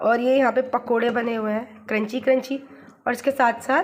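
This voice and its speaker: This woman has a high pitch and fairly even intonation. She speaks at a fairly slow pace. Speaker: vlogger. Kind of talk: casual vlog chat. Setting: at her parents' home kitchen.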